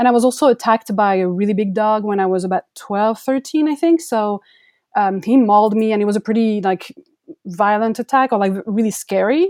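In a French accent, a woman speaks at a fairly quick pace with a fairly high pitch and ordinary pitch variation, the sound dry and close with no echo. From France. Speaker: photographer. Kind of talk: interview.

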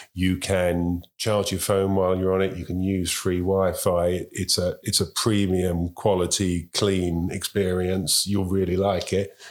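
With a very deep, low pitch, a man speaks in a monotone, flat intonation at a fairly slow pace. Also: very clean recording, silent background. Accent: London. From London. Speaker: transport industry chief executive. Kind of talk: interview. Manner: halting.

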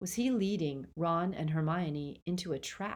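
A woman's ordinary speaking voice, fairly low in pitch with ordinary pitch variation, at a fairly slow pace on a very clean recording with a silent background. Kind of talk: audiobook-style dramatic narration of a novel, reading aloud with character voices.

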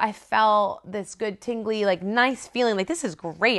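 A woman with an American accent and a normal speaking voice, at a medium pitch and a fairly slow pace. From South Florida. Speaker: ministry worker. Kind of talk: testimony.

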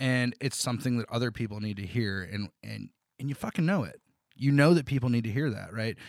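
An ordinary speaking voice moves at a fairly quick pace in a very clean recording with a silent background, the sound dry and close with no echo. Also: man, medium pitch for a man, ordinary pitch variation. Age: 30s. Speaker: podcast host. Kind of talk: casual chat. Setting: home basement.

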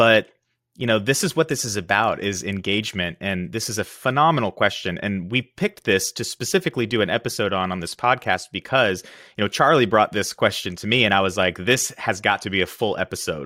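A man with a fairly low pitch and a bright, sharp tone, at a fairly quick pace with ordinary pitch variation, in a dry, close sound with no echo. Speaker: podcast host, life coach. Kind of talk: casual interview chat. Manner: enthusiastic.

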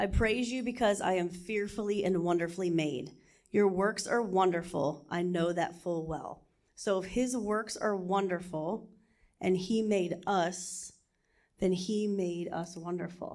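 At a fairly slow pace, a woman speaks with an unremarkable speaking voice. Her pitch is medium, with ordinary variation. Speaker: church member. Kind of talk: reading aloud.

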